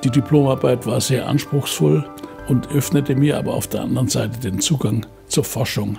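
A man's medium-pitched voice with lively intonation at a moderate pace, clear music in the background. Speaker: Nobel laureate chemist. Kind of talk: interview answer. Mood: warm, reflective, smiling. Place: home room.

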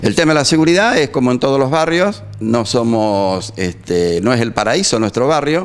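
At a moderate pace, a man speaks with very wide pitch swings while his loudness stays very even. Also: hardly any pauses. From Argentina. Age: 60s. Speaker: neighbourhood association president. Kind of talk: street interview. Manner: halting. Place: studio. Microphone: handheld.

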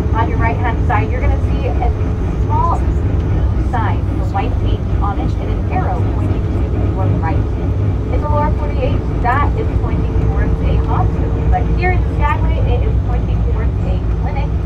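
Loud background noise fills the clip. A woman speaks through it at a moderate pace. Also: ordinary pitch variation. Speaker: bus tour guide. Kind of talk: tour guide commentary. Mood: friendly, joking. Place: bus.

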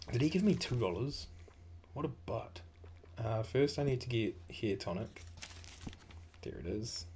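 A man with a New Zealand accent speaks at a moderate pace in a medium-pitched, somewhat breathy voice with a dark, mellow tone, lively intonation and long, frequent pauses. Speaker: gaming streamer. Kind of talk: casual gameplay commentary. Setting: online stream, home recording. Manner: casual, chatty.

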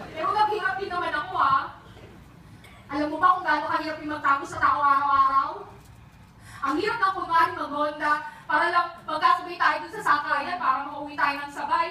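A woman speaks fairly quickly in a raised, projected voice with a bright, sharp tone and fairly even intonation. Light background noise and audible room echo are present. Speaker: stage actor. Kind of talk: theatrical monologue. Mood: emotional, confessional, bitter. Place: stage. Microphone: camera far.

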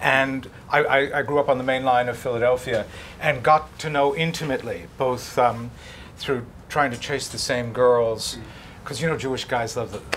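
Light background noise sits under speech delivered at a moderate pace with fairly even intonation. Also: man. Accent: American. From United States. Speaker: foreign correspondent. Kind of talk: panel discussion. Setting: stage with audience. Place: hall.

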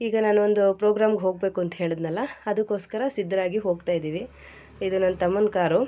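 A woman's medium-pitched voice has a dark, mellow tone and fairly even intonation. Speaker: vlogger. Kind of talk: casual vlog narration.

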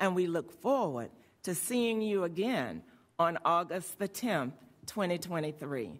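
The woman talks at a very slow pace. Her intonation moves in a lively way. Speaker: school board member, former principal. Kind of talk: board meeting remarks. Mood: warm, encouraging. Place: meeting room. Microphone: podium.

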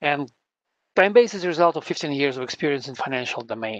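A man's fairly bright tone at a fairly high pitch

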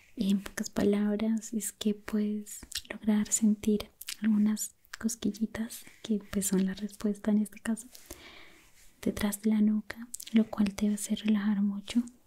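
Soft-spoken and at a fairly slow pace, a woman talks in a monotone, flat intonation. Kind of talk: soft-spoken roleplay chat. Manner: soft, close-mic ASMR speaking voice. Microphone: studio mic.

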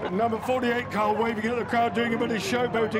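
A man speaks over loud background noise. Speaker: race commentator. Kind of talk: commentary. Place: stadium.

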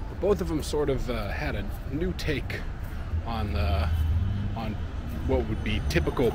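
Amid noticeable background noise, a man speaks at a moderate pace in a dry recording with no echo. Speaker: food vlogger. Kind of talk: casual vlog chat. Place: street. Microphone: phone near.

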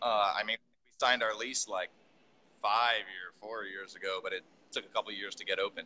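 This man has a fairly low pitch and a bright, sharp tone, speaking at a moderate pace with flat, monotone intonation. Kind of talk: interview answer. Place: factory. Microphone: video call.

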